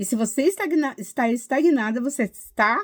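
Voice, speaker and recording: A woman with a high pitch speaks in an animated tone with lively intonation on a very clean recording with a silent background. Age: 60s. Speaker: tarot reader and numerologist. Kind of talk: casual video monologue.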